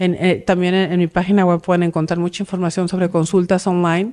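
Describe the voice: A woman speaks with a fairly low pitch, a slightly mellow tone and little pitch movement. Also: fairly quick pace.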